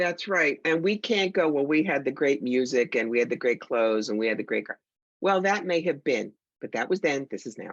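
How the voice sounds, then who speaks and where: Her pitch very deep and low, a woman with an American accent speaks at a moderate pace with very wide pitch swings. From New York. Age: 60s. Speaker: psychic medium and teacher. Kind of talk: podcast interview.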